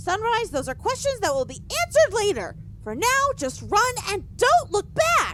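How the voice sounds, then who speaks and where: In a put-on character voice with extremely high pitch, the speaker goes at a moderate pace over clear background noise. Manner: urgent.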